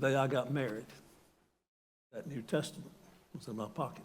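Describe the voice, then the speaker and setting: Audible room echo surrounds a man speaking with an American accent and ordinary pitch variation. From US South, North Carolina. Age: 70s. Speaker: retired university president. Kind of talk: sermon. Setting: church.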